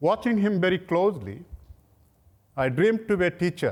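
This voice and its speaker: Lively intonation carries the speech along at a moderate pace. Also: man. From Bangladesh, near Dhaka. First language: Bangla. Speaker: professor. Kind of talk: lecture.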